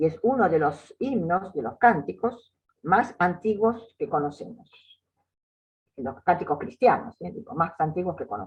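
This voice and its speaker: A woman's fairly low, somewhat breathy voice makes very wide pitch swings as she speaks at a fairly slow pace. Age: 80s+. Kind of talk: lecture. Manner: halting.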